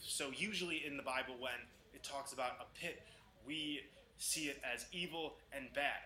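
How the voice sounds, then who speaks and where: The man has a fairly high pitch and a bright, sharp tone. He sounds intense, with fairly even intonation. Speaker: conspiracy video maker. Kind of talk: monologue reading scripture with commentary.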